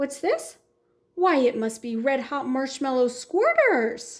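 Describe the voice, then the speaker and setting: A put-on character voice delivers its lines at a fairly slow pace. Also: woman, high pitch for a woman. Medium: read story.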